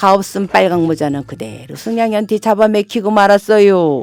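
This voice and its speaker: Recorded very cleanly against a silent background with a dry, close sound and no echo, a woman with a Chungcheong accent speaks at a moderate pace and medium pitch with very wide pitch swings. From Daejeon, Chungcheong region, Korea. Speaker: non-professional local native speaker. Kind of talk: children's fairy tale reading. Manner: warm, friendly.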